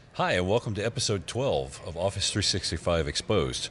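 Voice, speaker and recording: A man with an American accent and a very deep, low pitch talks at a fairly quick pace with lively intonation and vocal fry, over a quiet background. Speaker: podcast host. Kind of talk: casual podcast chat. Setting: conference recording studio.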